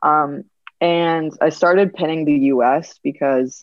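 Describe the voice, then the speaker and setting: Ordinary pitch variation from a woman speaking with an American accent. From US, Rhode Island. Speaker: drone videographer. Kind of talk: casual interview.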